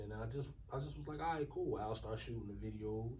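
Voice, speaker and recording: There is audible room echo as a man with an American accent talks at a moderate pace. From Newark, New Jersey. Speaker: rapper. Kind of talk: casual interview.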